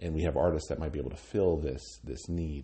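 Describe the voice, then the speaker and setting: Vocal fry colors this voice. It comes with an American accent. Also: man. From Wyoming, US (Cheyenne). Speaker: arts nonprofit director. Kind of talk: interview. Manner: halting, many fillers and repeated words.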